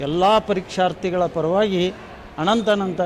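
A man speaks with a high pitch. Room echo can be heard around him. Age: 60s. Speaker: retired lecturer and student. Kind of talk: interview.

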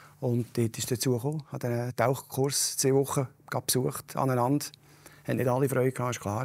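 A man with a medium-pitched voice talks at a fairly quick pace in a flat, monotone delivery. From Canton of Lucerne, Switzerland. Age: 50s. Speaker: local politician. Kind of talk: interview. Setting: stage with audience. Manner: direct.

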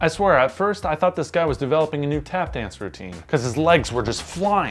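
Faint music sits behind the voice. A man delivers his words fairly quickly. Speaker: vlogger. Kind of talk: casual storytime vlog chat. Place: home room. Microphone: camera far.

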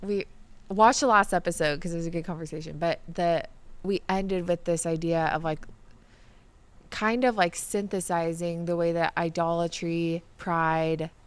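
At a moderate pace, a woman with an unremarkable speaking voice talks in a fairly low pitch with fairly even intonation. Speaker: podcast co-host. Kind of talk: casual discussion. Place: studio. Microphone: studio mic.

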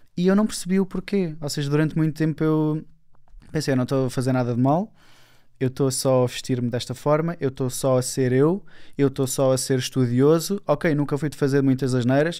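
A man speaks with a European Portuguese accent and a dark, mellow tone. His pace is fairly quick, his pitch varies in an ordinary way, and the background is quiet. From Portugal. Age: 20s. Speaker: self-development speaker; speaker. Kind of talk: casual interview. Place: studio. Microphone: studio mic.

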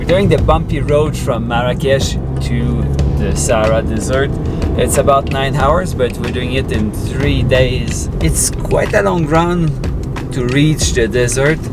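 Music plays in the background while the speaker talks at a fairly slow pace. The sound is dry with no echo. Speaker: vlogger. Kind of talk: casual vlog chat. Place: car. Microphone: camera far.

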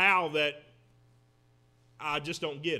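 Over a quiet background, a man speaks in a raised, projected voice with a bright, sharp tone. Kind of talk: sermon-style lecture. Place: church. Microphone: podium.

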